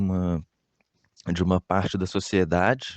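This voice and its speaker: A man's very deep, low voice at a fairly slow pace, with a dry, close sound and no echo. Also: quiet background. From Brazil, Minas Gerais (Belo Horizonte area). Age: 20s. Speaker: graffiti artist. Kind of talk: interview answers. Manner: halting, many fillers and repetitions.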